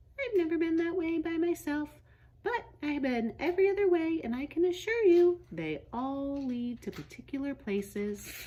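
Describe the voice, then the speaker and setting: Putting on a squeaky character voice with a gentle tone, a woman talks at a moderate pace, her extremely high pitch making very wide swings. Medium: read story. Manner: gentle, hospitable.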